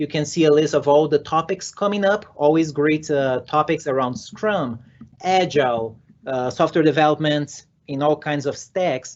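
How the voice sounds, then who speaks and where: A man with a fairly high voice speaks with a Brazilian Portuguese accent. His pace is moderate and his pitch varies in an ordinary way. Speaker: software developer and conference speaker. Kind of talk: conference talk. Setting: virtual conference session. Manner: energetic.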